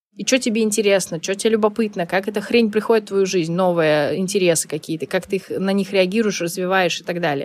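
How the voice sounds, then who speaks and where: At a very fast pace with hardly any pauses, a woman speaks at medium pitch with ordinary pitch variation. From Saint Petersburg, Russia. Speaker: life coach. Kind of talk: interview conversation.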